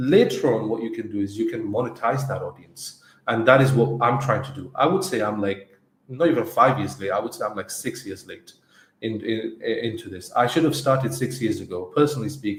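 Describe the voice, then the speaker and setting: A somewhat breathy male voice with big swings in loudness and ordinary pitch variation. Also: medium pitch for a man. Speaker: agency co-founder and podcast co-host. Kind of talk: casual podcast discussion. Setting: live stream. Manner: halting, with repetitions.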